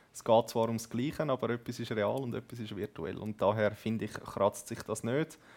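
This man has an ordinary speaking voice, medium pitch and fairly even intonation, speaking at a moderate pace with hardly any pauses. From Zurich Oberland, Switzerland. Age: 20s. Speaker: esports gamer, team captain. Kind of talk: casual interview.

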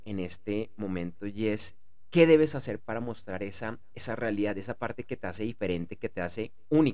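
A man at medium pitch, fairly quick, with lively intonation and big swings in loudness. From Bogotá, Colombia. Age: 40s. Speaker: podcast host and author. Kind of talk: solo podcast monologue. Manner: halting, frequent word repetitions.

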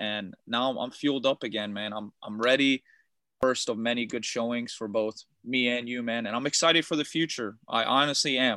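The pace is moderate and the intonation fairly even. The sound is dry and close, with no echo. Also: man. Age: 20s. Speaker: karate athlete. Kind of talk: casual chat.

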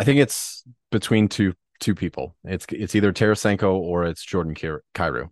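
The man's pitch is very deep and low, with ordinary pitch variation. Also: moderate pace, dry, close sound with no echo, quiet background. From Philadelphia area (raised), born in New Jersey. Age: 30s. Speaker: fantasy hockey podcaster. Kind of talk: casual chat.

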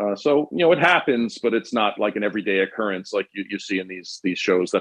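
In a New York accent, a man talks at a fairly quick pace with hardly any pauses and lively intonation. His fairly low pitch comes through in a dry, close sound with no echo. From New York City, Queens. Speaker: former police detective. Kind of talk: casual chat.

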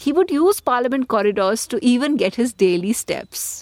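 In a very clean recording with a silent background and a dry, close sound with no echo, a woman with an Indian accent speaks at a moderate pace in a fairly high pitch with lively intonation. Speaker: podcast host and political editor. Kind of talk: scripted narration with interview links.

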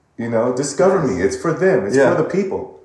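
Audible room echo surrounds the speaker. A man with an American accent makes very wide pitch swings. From US West Coast, Pasadena, California. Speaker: vocal coach and singer. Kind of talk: casual interview.

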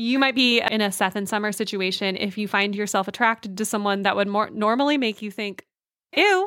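A woman with an American accent talks at a fairly quick pace with a fairly high pitch. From California. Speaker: podcast host. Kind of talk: casual chat. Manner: animated.

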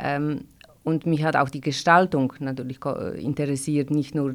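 Speaking in a Polish accent, a woman uses a very deep, low pitch with fairly even intonation. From Poland, Gdańsk. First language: Polish (speaking German). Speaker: corset maker. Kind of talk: interview. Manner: halting, many fillers.

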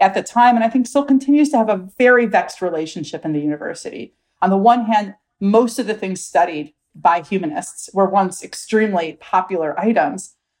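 In a normal speaking voice, a woman with an American accent talks at a fairly quick pace, her fairly high pitch carrying lively intonation. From US Midwest, Milwaukee, Wisconsin. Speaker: professor of religious studies. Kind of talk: interview.

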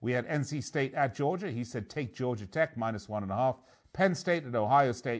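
With a normal speaking voice, a man talks at a moderate pace, his medium pitch carried by lively intonation. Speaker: sports betting radio host. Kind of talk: live sports radio show hosting. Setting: live broadcast and video stream. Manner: playful, self-mocking.

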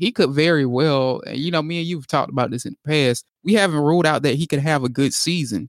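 A man's normal speaking voice in an American accent, fairly high in pitch with ordinary pitch variation, dry and close with no echo on a very clean recording with a silent background. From United States. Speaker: sports editor and podcast co-host. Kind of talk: casual chat.

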